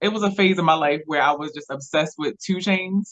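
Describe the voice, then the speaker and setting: In a Baltimore accent, a woman speaks at a fairly low pitch with ordinary pitch variation. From Baltimore, Maryland. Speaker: blogger and filmmaker. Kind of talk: casual interview.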